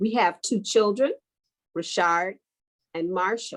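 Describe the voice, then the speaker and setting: A woman's medium-pitched voice with a Texan accent and ordinary pitch variation, on a very clean recording with a silent background. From Texas. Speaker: educator. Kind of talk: conference presentation.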